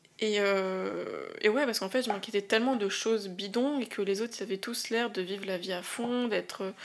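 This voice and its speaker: At a moderate pace, a woman with a medium pitch talks with hardly any pauses and fairly even intonation. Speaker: podcast host. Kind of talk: solo podcast monologue. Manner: hesitant, many fillers.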